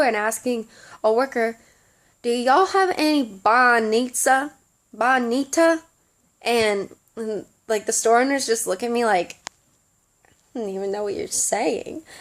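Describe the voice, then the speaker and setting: A woman's high voice in a strong Southern US accent, at a fairly slow pace with lively intonation and long, frequent pauses. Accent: thick Southern US. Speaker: study abroad student vlogger. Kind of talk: casual vlog.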